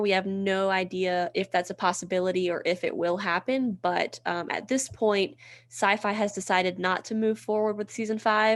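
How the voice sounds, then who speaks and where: Medium-pitched female voice in a Southern US accent, fairly even intonation, moderate pace, quiet background. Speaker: podcast co-host. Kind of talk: casual chat.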